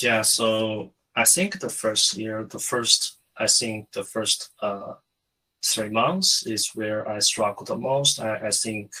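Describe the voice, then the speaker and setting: A man speaks with a Chinese accent. His pace is very slow. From China. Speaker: SOC security analyst. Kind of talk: interview. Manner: halting, many fillers.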